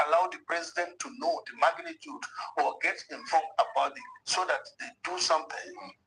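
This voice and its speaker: A man projects a raised voice at a high pitch, with a bright, sharp tone. His pitch swings very widely at a moderate pace. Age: 60s. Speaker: politician. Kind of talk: TV interview.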